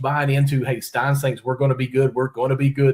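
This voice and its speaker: Somewhat breathy, a man speaks with a Kentucky accent. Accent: Kentucky hillbilly. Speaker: sports podcast host. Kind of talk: podcast interview.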